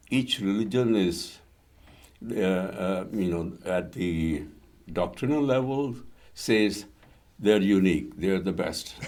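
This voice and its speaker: With lively intonation, a man speaks at a very slow pace with long, frequent pauses, and audible room echo surrounds his voice. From India. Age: 80s+. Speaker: retired civil engineer and interfaith author. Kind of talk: interview. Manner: hesitant, many fillers.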